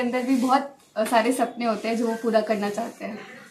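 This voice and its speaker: A woman at a moderate pace with fairly even intonation, over noticeable background noise. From Bihar, Buxar. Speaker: civil services exam topper. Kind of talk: interview.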